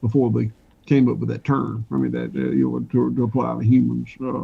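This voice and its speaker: In a Southern US accent, a man talks at a moderate pace. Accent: Southern US (Georgia). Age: 60s. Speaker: farmer. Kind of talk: interview. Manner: halting, many fillers.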